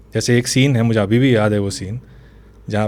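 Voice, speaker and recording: With a coastal Karnataka accent, a man speaks in a dark, mellow tone. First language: Tulu (speaking Hindi). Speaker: novelist and screenwriter. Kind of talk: interview conversation.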